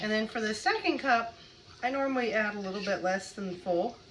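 Over faint background noise, a woman with a fairly bright tone talks at a fairly quick pace with lively intonation.

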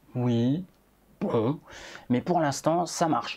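The man speaks at a fairly slow pace. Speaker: streamer. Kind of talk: casual livestream chat. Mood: relaxed, joking. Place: home room. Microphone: lapel.

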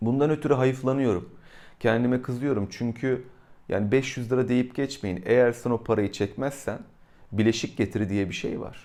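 Here a man speaks at medium pitch with a dark, mellow tone. His pace is moderate and his pitch variation ordinary. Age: 40s. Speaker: YouTuber. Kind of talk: casual monologue. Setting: indoors during thunderstorm.

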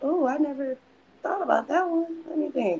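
With ordinary pitch variation, a woman talks in an American accent. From Milwaukee, Wisconsin; Wisconsin. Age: 20s. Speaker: actress. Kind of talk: casual chat. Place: home room. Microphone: video call.

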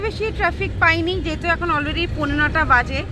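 Over crowd noise in the background, a woman raises and projects her voice, the sound dry with no echo. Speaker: family vlogger. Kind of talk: casual vlog chat. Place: car. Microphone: phone near.

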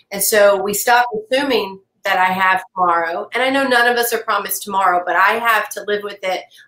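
Speaking with an American accent, a woman moves at a fairly quick pace in a bright, sharp tone. Her intonation stays fairly even, and audible room echo surrounds her voice. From US South. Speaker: cancer patient. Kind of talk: interview conversation. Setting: video call. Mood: earnest, reflective. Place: home room.

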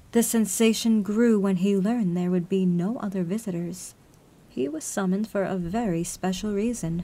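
A natural reading voice moves through the lines with normal pitch variation.

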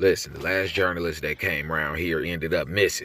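A man puts on a raspy character voice at a very deep, low pitch. He moves at a fairly quick pace with fairly even intonation. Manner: angry, profane, threatening.

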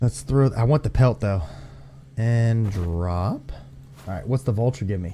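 A man with an American accent, his dark, mellow voice somewhat breathy, lively in intonation and broken by long, frequent pauses. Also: medium pitch for a man, moderate pace. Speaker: gaming youtuber. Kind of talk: gameplay commentary. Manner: animated.

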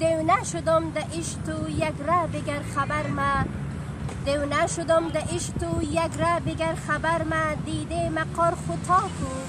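Over loud background noise, a woman speaks at a very slow pace, the sound dry with no echo. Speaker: poetry reciter. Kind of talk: poetry reading. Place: open country.

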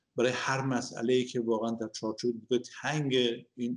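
A man talks at a fairly quick pace, and the background stays quiet. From Iran. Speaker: engineer and economist, opposition activist; interview guest. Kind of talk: interview. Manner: halting. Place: home room. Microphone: video call.

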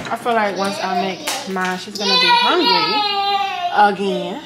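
Loud background noise behind a woman's fairly slow speech. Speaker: vlogger. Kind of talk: casual vlog chat. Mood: relaxed, chatty. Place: kitchen. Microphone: phone near.

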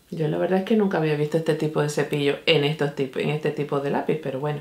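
A woman speaks, and the room echo around her is audible. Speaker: beauty vlogger. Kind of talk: casual makeup tutorial chat. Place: home room.

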